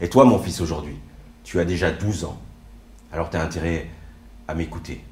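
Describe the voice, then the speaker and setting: Audible room echo surrounds a man speaking at a fairly quick pace. His pitch variation is ordinary. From France, arrived from Morocco at age 4. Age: 40s. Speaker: stage performer. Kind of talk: autobiographical stage monologue.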